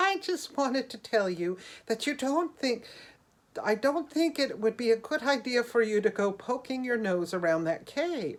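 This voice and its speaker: A female-sounding voice does a put-on character voice at a high pitch. The pace is moderate. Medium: read story. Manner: light, teasing.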